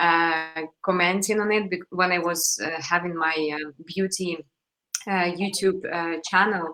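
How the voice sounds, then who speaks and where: Speaking with a non-native accent, a woman talks at a fairly slow pace in a monotone, flat delivery. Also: fairly low pitch for a woman. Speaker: interviewer. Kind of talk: interview.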